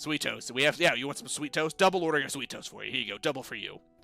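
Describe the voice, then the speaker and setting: With faint music in the background, a man puts on a character voice in a fairly high pitch at a very fast pace. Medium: actual play. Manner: casual, rambling.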